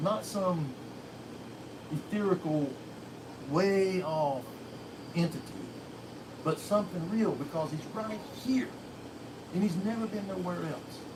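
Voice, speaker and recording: Long, frequent pauses at a fairly slow pace, over noticeable background noise. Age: 60s. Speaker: religious believer sharing faith. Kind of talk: testimony.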